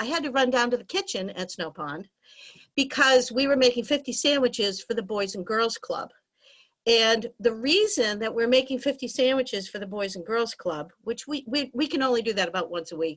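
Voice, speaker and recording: A woman with a high pitch and lively intonation at a fairly quick pace, on a very clean recording with a silent background. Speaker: arts center director. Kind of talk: virtual meeting remarks. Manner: fast.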